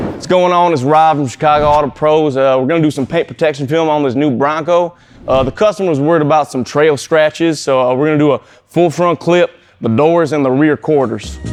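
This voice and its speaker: Fairly high-pitched and fairly quick, a man talks with an American accent and fairly even intonation. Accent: drifts southern US at times. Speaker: paint protection film installer. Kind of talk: casual shop vlog talk.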